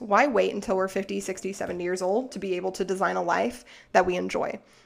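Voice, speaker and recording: A woman with an American accent speaks very fast at a medium pitch. Vocal fry runs through her voice. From Arkansas, US South. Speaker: podcast host, financial educator. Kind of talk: solo podcast monologue. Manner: casual, filler-heavy.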